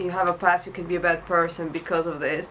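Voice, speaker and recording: This woman has a fairly low pitch and speaks with a non-native accent. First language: not English. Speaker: tarot reader. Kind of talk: tarot reading monologue. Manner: hesitant, many fillers.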